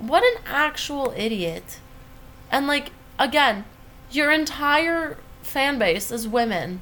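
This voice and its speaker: A woman speaks very slowly at a high pitch, with very wide pitch swings. Long, frequent pauses break up her speech, and the room echo is audible. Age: 20s. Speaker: podcast co-host. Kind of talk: casual chat.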